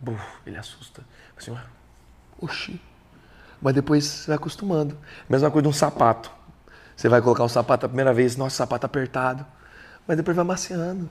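A somewhat breathy man with a fairly high pitch talks at a fairly quick pace, with long, frequent pauses, ordinary pitch variation and big swings in loudness. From São Paulo state, Brazil (Suzano). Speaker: country singer. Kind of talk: interview. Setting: studio. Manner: animated.

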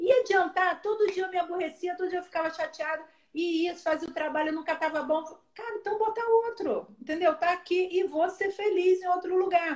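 The woman's voice sits at an extremely high pitch, with ordinary pitch variation. She moves along at a fairly quick pace. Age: 40s. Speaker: pastor. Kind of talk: casual chat.

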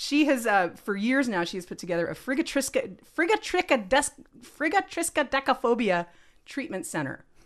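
A woman speaks at a high pitch with very wide pitch swings. Her pace is moderate. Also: quiet background. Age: 40s. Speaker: cartoonist. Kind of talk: casual chat.

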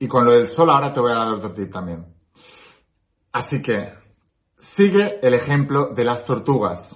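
Animated and somewhat breathy, a man speaks at a fairly slow pace with a medium pitch, very wide pitch swings and long, frequent pauses. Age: 30s. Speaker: spiritual self-help youtuber. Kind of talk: motivational talk to camera.

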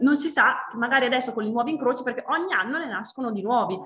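Noticeable background noise sits behind a woman whose fairly high voice shows ordinary pitch variation. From Trentino, Italy. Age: 30s. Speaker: winemaker. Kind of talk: interview. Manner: halting.

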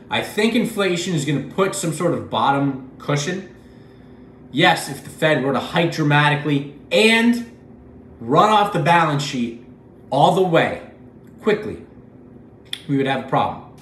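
A man speaks fairly slowly in a fairly high pitch with long, frequent pauses, amid noticeable background noise and audible room echo. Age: 20s. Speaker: finance video creator. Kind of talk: solo commentary video.

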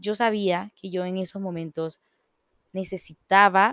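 Intonation stays fairly even, and the sound is dry and close with no echo. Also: woman. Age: 20s. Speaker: podcast host, entrepreneur. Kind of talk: casual solo monologue. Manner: informal, many fillers.

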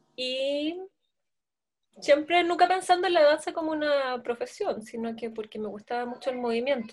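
A woman speaks at a moderate pace in a high voice, her intonation lively and her loudness swinging widely. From Chile, Santiago. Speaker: dancer and choreographer. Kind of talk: interview.

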